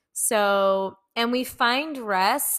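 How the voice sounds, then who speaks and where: A woman's voice with ordinary pitch variation, in a very clean recording with a silent background. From Mexican-American, US. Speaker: podcast host. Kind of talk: casual chat.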